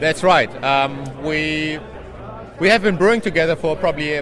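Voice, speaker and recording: With a German accent, this speaker talks at a moderate pace with ordinary pitch variation, over noticeable background noise and audible room echo. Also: man. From Germany. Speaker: homebrew shop owner and conference organiser. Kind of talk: interview.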